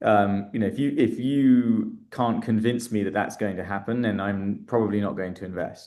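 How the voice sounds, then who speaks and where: A man with a British accent and fairly even intonation, over a quiet background. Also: medium pitch for a man, moderate pace. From England, London. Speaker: startup founder and investor. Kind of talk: interview. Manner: hesitant, many fillers.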